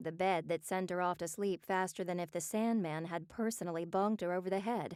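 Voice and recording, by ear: A natural voice reading aloud.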